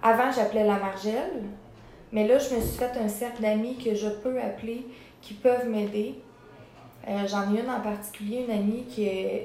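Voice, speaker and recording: With fairly even intonation and a fairly high pitch, a woman speaks at a moderate pace in a room with audible echo. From Quebec, Sorel area. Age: 20s. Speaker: former rehab resident in recovery. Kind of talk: interview testimony.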